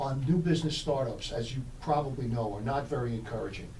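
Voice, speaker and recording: Speaking at a fairly quick pace in a New York accent, a man with a medium pitch and ordinary pitch variation is heard with audible room echo and noticeable background noise. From New York City. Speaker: business consultant. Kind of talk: radio interview. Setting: radio studio.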